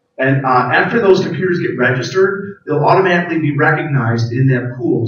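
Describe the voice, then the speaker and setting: A man with ordinary pitch variation delivers his words fairly quickly. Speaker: IT staff presenter. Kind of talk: conference presentation with live demo. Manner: fast.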